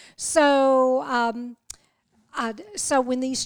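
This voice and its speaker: A woman speaks in a Southern US accent. Her pitch is high. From US South. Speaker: missionary and office administrator. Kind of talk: interview testimony. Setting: guests' living room.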